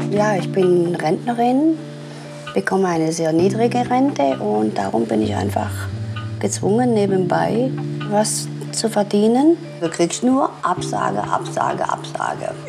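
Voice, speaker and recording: Clear music plays behind a woman speaking at a fairly slow pace. She leaves long, frequent pauses. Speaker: pensioner, former electrical industry worker. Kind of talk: documentary interview answer. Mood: resigned, wistful. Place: home room. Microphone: lapel.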